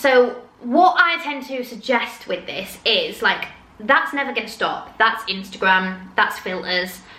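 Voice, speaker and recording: Fairly slow, fairly high female speech with noticeable background noise and audible room echo. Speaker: influencer and confidence coach. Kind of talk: casual advice vlog.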